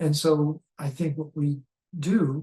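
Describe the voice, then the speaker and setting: A man's fairly high, somewhat breathy voice with a dark, mellow tone and flat, monotone intonation. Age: 70s. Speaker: health educator. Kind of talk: interview. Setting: in person recording.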